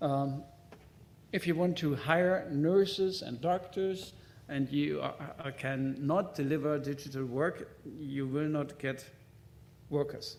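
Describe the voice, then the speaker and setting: Through audible room echo, a man with a fairly high pitch talks at a very slow pace with fairly even intonation and long, frequent pauses. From German-speaking Europe. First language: German. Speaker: hospital IT executive, conference speaker. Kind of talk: conference presentation. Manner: halting, with many fillers.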